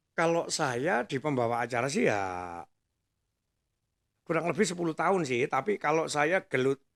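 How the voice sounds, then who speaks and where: At a fairly high pitch with vocal fry, a man speaks at a moderate pace with very wide pitch swings and very even loudness, the sound dry and close with no echo. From East Java, Indonesia (Nongkojajar, Pasuruan). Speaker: master of ceremonies. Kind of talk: casual chat.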